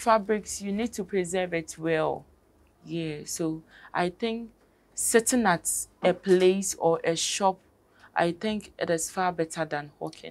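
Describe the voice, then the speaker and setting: A woman speaks at a very slow pace and a fairly low pitch, with ordinary pitch variation. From Ghana, Ashaiman; Ghana. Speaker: fabric business owner; interviewee. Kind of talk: interview. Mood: earnest, encouraging. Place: shop. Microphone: lapel.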